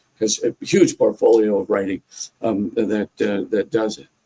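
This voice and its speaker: A man talks at a moderate pace, his voice dry and close with no echo. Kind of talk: podcast interview. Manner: halting, many fillers and repetitions.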